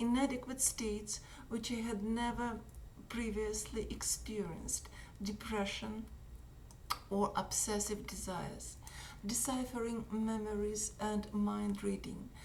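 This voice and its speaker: A woman with a Russian accent speaks fairly slowly in a room with audible echo. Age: 60s. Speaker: activist. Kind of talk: reading aloud. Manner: halting.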